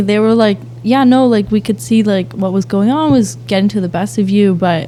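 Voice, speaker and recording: Pitch swings very widely as a woman talks in an American accent. Her pace is fairly quick. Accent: Boston accent, comes out when upset. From Boston, Massachusetts. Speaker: aspiring teacher, youth organization founder. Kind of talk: casual podcast interview. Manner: quiet, soft-spoken; rarely raises voice.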